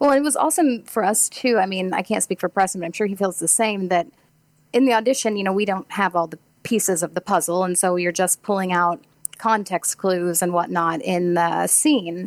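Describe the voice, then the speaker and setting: An ordinary speaking voice, a woman with an American accent talks at a fairly quick pace in a medium pitch with ordinary pitch variation, the sound dry and close with no echo. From Missouri (Farmington), US Midwest. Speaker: actress. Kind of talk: interview. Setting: remote call over Discord.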